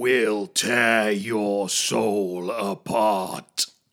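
Growling in a put-on character voice, a man speaks at a fairly low pitch. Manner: menacing.

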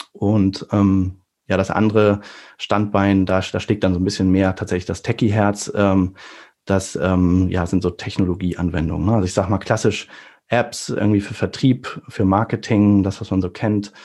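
Against a quiet background, a man with a fairly low pitch and a dark, mellow tone talks at a moderate pace in a flat monotone. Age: 40s. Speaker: engineer and AR developer. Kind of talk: casual chat. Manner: hesitant, many fillers.

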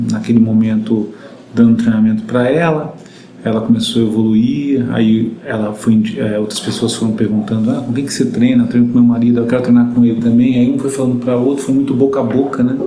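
Man with a Rio de Janeiro accent, fairly quick pace, monotone and flat intonation, noticeable background noise and audible room echo. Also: medium pitch for a man. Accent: carioca. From Rio de Janeiro, Brazil. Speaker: running coach and company founder. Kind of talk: interview.

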